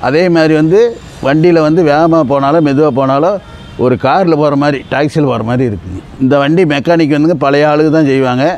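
A man speaks with ordinary pitch variation. The sound is dry with no echo. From Karur district, Tamil Nadu. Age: 60s. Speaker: vintage scooter owner. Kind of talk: interview answer. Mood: proud, warm. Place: street.

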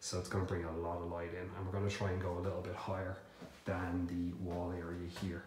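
A man's very deep, low voice, flat and monotone, at a moderate pace, with noticeable background noise and audible room echo. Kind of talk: casual walkthrough tour. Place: empty room. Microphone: phone near.

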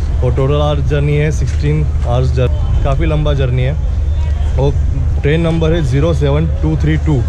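A man speaks at a fairly slow pace with a very deep, low pitch, fairly even intonation and very even loudness. Noticeable background noise runs underneath. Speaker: travel vlogger. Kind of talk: casual vlog chat. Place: station. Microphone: phone near.

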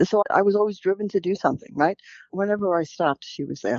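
There is a quiet background and a dry sound with no echo. A woman talks with a New York accent. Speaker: birth mother; podcast guest. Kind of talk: interview answer. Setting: phone line. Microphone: phone line.

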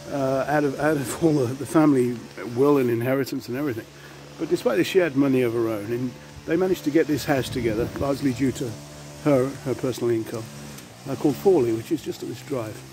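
Over noticeable background noise, a man speaks at a very fast pace with ordinary pitch variation, in a dry sound with no echo. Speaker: local history vlogger. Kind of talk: casual vlog chat. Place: street. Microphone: phone near.

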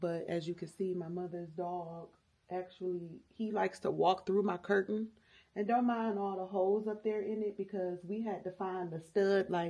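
Against a quiet background, a woman with a dark, mellow tone speaks at a moderate pace in a monotone, flat way. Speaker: home vlogger. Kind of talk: casual vlog chat. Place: home room. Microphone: phone near.

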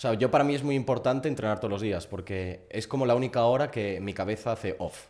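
Speaking with a Galician accent, a man talks at a very fast pace with hardly any pauses. His medium pitch shows ordinary variation over a quiet background. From Galicia, A Coruña. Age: 20s. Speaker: growth partner, student; podcast guest. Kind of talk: interview. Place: home room. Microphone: studio mic.

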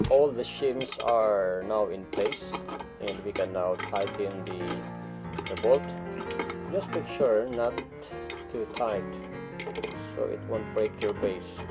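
Clear music plays in the background as the speaker moves at a very slow pace with long, frequent pauses. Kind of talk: tutorial. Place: bathroom. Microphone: phone near.

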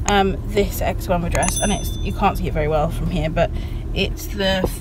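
A woman talks very slowly, the sound dry and echo-free, while loud background noise plays. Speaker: vlogger. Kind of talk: casual vlog chat. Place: car. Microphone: phone near.

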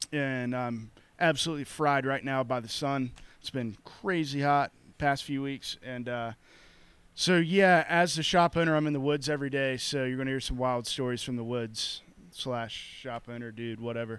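Here a man talks at a moderate pace with ordinary pitch variation. His voice sounds dry, without echo. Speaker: podcast host. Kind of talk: casual podcast intro. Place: shop. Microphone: handheld.

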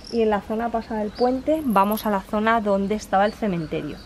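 A woman speaks at a fairly quick pace with fairly high pitch and an unremarkable speaking voice. Light background noise sits behind her. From Spain, not Galicia. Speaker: travel vlogger. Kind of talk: travel vlog narration. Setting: outdoors. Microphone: phone near.

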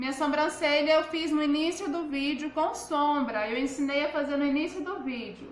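With hardly any pauses, a high-pitched woman speaks at a moderate pace and fairly even intonation, over light background noise and audible room echo. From Brazil, Goiás. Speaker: makeup artist and seller. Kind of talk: live makeup tutorial. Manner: chatty, informal. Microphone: phone near.

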